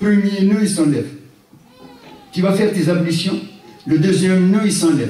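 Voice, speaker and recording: Over noticeable background noise and audible room echo, a man speaks in a high voice at a moderate pace, with ordinary pitch variation, very even loudness and long, frequent pauses. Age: 60s. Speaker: Islamic lecturer. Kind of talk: religious lecture. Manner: animated.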